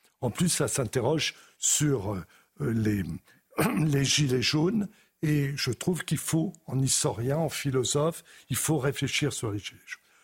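Somewhat breathy and fairly high-pitched, a man speaks at a very slow pace with long, frequent pauses and lively intonation. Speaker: historian. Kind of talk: TV debate.

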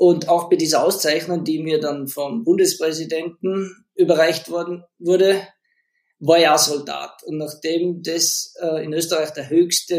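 The man's voice sits high in pitch. He speaks at a very slow pace. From Austria, Leogang (Salzburg). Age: 40s. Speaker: professional snowboarder. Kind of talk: casual interview chat.

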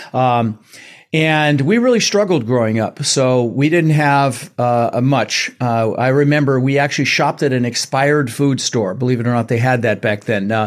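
An animated, energetic tone at a moderate pace, with ordinary pitch variation and very even loudness. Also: man, medium pitch for a man. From Netherlands-born, raised in Denver, US. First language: Dutch. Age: 60s. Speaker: real estate investor and coach. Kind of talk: interview, storytelling.

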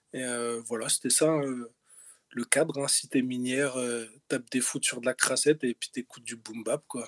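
A man talks at a moderate pace in a medium pitch, with a monotone, flat intonation. The sound is dry and close, with no echo. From north-eastern France, Lorraine mining town. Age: 40s. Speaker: rapper and music producer. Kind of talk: interview. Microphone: poor recording audio quality.

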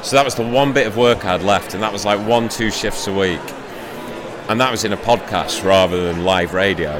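Over noticeable background noise, a man with a fairly low voice talks at a fairly quick pace with ordinary pitch variation. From Shrewsbury, England. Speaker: sports podcaster. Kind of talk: casual interview. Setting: live event at a book fair.

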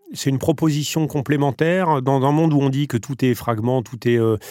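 A man's ordinary speaking voice at a moderate pace, with ordinary pitch variation. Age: 40s. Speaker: media company co-founder and president. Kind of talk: interview.

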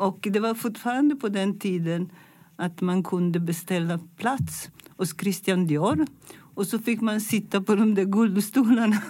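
A woman speaks with an Italian accent, her tone dark, mellow and somewhat breathy. The recording is very clean, with a silent background. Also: medium pitch for a woman, ordinary pitch variation. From Italy, Milan. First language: Italian (speaking Swedish). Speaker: fashion designer. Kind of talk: interview. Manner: halting.

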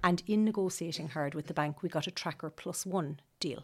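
Speaking in an Irish Midlands accent at a moderate pace, a woman has a fairly low pitch with ordinary variation, in a very clean recording with a silent background. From Ireland, County Laois. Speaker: homeowner who renovated her house. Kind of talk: interview.

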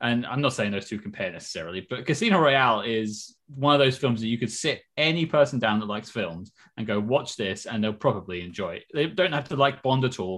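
Speaking with an English accent, a man talks at a fairly quick pace and medium pitch with lively intonation and hardly any pauses, on a very clean recording with a silent background. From England. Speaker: film podcast host, guest. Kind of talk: casual chat.

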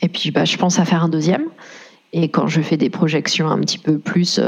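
A woman's fairly low voice moves at a fairly quick speed, her intonation fairly even, amid noticeable background noise. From France. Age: 30s. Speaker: single mother. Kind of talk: personal testimony interview.

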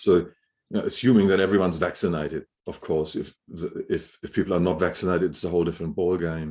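Against a quiet background, a man with a German accent speaks very fast in a very deep, low voice with fairly even intonation. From Germany, Hamburg. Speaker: building biologist, indoor air expert. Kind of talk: interview. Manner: halting, frequent repetitions.

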